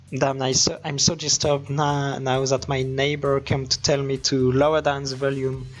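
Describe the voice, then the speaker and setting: The speech runs at a moderate pace with hardly any pauses. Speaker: esports commentator. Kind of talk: live commentary. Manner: loud; animated.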